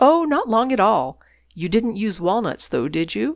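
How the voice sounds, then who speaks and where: Put-on character voice from a woman, fairly high in pitch with very wide swings. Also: moderate pace. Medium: read story. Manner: airy, casual.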